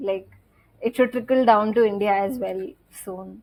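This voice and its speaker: A plain, everyday voice moves at a fairly slow pace. Its intonation is fairly even. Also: woman. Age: 20s. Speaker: film director. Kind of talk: podcast interview answer.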